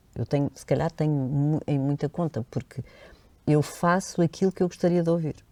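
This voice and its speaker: Her pitch is very deep and low, with a dark, mellow tone. The woman speaks at a fairly quick pace with fairly even intonation, in a dry, close sound with no echo. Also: very clean recording, silent background. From Madeira, Portugal. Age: 60s. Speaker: voice-over artist and radio presenter. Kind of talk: interview.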